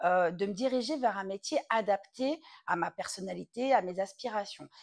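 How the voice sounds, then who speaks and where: A woman speaks at a moderate pace with lively intonation. The sound is dry and close with no echo, on a very clean recording over a silent background. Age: 30s. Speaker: entrepreneur and content writer. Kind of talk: testimony. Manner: hesitant, many fillers.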